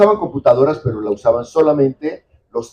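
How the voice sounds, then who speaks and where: Speaking at a fairly quick pace, a man uses a fairly high pitch, a dark, mellow tone and lively intonation. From Mexico. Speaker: editor and writer. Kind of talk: book presentation talk.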